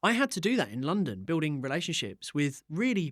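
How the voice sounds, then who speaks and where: Against a silent background in a very clean recording, a man with an English accent and a fairly high pitch talks fairly quickly, his pitch swinging very widely, with vocal fry. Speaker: entrepreneur. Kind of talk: interview. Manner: loud; animated.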